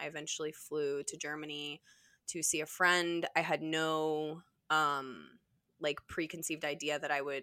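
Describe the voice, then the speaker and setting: Speaking at a moderate pace, this woman has a very deep, low pitch, a bright, sharp tone, and a monotone, flat intonation. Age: 30s. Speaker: podcast guest, photographer. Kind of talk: casual chat.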